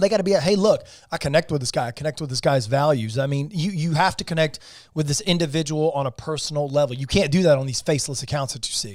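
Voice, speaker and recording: Somewhat breathy and fairly high in pitch, a man talks at a very fast pace. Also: ordinary pitch variation. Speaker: real estate investor and agent. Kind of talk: podcast interview. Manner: animated.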